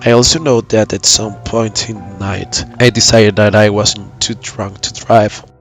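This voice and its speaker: A man with a fairly low pitch, hardly any pauses and big swings in loudness, with music in the background. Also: fairly even intonation, fairly slow pace. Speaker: horror story narrator. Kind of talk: horror story narration.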